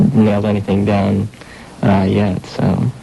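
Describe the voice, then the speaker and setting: Over noticeable background noise, a man with a fairly low pitch speaks at a very slow pace. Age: 20s. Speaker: college radio host. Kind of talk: radio interview. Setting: radio studio. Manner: hesitant, many fillers.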